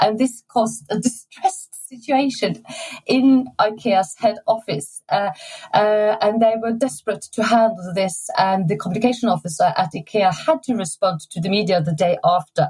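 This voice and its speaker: A woman with a Norwegian accent talks at a fairly high pitch with lively intonation. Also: moderate pace. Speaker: design exhibition curator. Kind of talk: interview conversation. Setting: remote recording.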